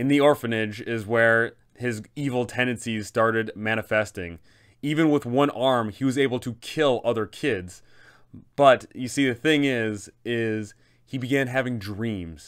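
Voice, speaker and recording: The man's speech moves at a fairly slow pace, with ordinary pitch variation. Behind him, all is quiet. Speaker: tabletop game content creator. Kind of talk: storytelling commentary. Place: home room.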